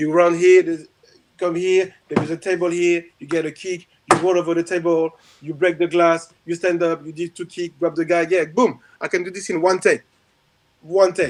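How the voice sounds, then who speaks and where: A man with a high pitch speaks at a moderate pace in a monotone, flat intonation. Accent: strong French. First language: French. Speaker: martial arts instructor and stunt performer. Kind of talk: casual chat.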